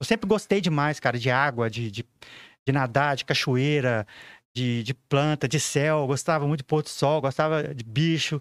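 This is a normal speaking voice with ordinary pitch variation at a moderate pace. The recording is very clean, with a silent background and a dry, close sound with no echo. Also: man, fairly high pitch for a man. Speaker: professional photographer. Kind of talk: casual podcast interview.

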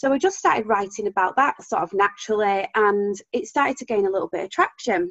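A woman's fairly high voice with an English accent, at a very fast pace with hardly any pauses and ordinary pitch variation. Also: dry, close sound with no echo. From UK. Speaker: business founder. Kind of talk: interview, conversational. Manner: passionate, expressive tone.

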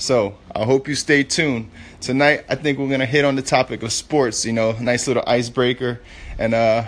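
In a normal speaking voice, the speaker keeps a moderate pace with fairly even intonation. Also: man. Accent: American. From New York City. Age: 30s. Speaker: podcast host, former law enforcement, entrepreneur. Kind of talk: casual podcast intro monologue. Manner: casual, filler-heavy.

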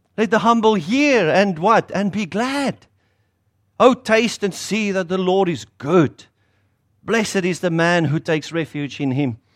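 A man with a South African accent speaks in a high voice on a very clean recording with a silent background. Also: lively intonation, fairly slow pace. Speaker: pastor. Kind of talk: sermon. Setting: stage with audience.

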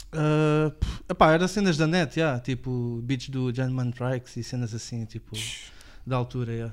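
A man with a normal speaking voice talks at a fairly slow pace. His pitch is medium, with ordinary variation. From Portugal, Lisbon area (Apelação). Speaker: rapper. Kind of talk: casual chat. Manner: casual, slangy.

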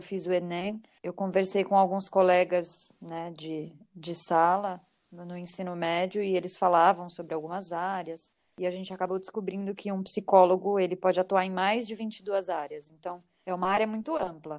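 A woman talks at a moderate pace in a monotone, flat intonation. Her loudness swings widely. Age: 30s. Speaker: psychology graduate, HR professional. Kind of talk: casual chat.

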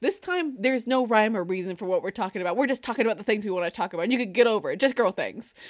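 On a very clean recording with a silent background, a woman talks at a very fast pace with hardly any pauses. Her fairly high-pitched voice has lively intonation. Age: 20s. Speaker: podcast co-host. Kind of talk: casual chat. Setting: live video stream. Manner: laughs often.

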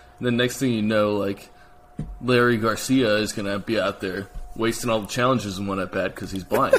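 Speech at a fairly quick pace, with fairly even intonation, comes through noticeable background noise. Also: man, fairly low pitch for a man. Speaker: podcast co-host. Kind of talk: casual sports podcast chat.

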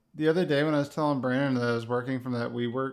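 Against a quiet background, a man with an American accent talks in a monotone, flat voice. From Connecticut. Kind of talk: casual chat.

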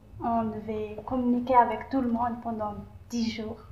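A woman's fairly high-pitched voice at a fairly slow pace in a monotone, flat intonation, with audible room echo and noticeable background noise. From Madagascar. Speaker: youth exchange participant. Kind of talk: casual interview. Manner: halting.

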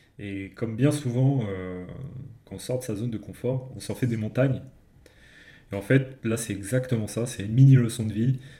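With long, frequent pauses and big swings in loudness, a man talks at a moderate pace in a medium-pitched, somewhat breathy voice with a dark, mellow tone. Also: fairly even intonation. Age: 30s. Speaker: podcast co-host discussing non-fiction books. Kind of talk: casual chat.

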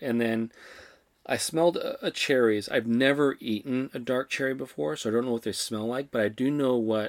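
The recording is very clean with a silent background. The pitch varies in an ordinary way. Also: man. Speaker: wine podcast co-host. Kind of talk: casual chat. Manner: slow; low energy.

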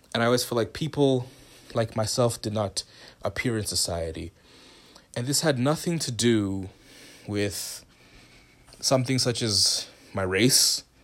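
A man talks in a medium pitch with an animated tone and ordinary pitch variation. Long pauses come often. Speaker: podcast host. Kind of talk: casual solo podcast intro. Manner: fast talker, excitable; animated, laughs often, casual.

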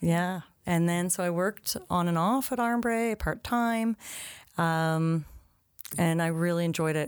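A woman's normal speaking voice with a Canadian accent, fairly low in pitch with ordinary pitch variation, on a very clean recording with a silent background. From Ottawa, Canada. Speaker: preschool director and teacher. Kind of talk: casual interview.

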